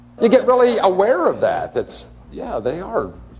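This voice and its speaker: The speaker talks fairly slowly. Background noise can be noticed throughout. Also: man. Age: 40s. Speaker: talk show panelist. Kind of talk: casual chat.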